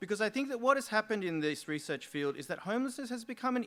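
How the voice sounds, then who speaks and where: A man with an Australian accent speaks in a bright, sharp tone with very wide pitch swings. The recording is very clean, with a silent background. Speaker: sociology lecturer. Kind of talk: conference talk.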